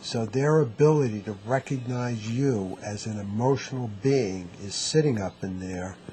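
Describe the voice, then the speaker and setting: The man's pitch sits in the medium range and varies in an ordinary way. He speaks at a fairly slow pace. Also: big swings in loudness. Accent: New York. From US, New York. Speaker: neurotherapy clinician. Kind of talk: interview.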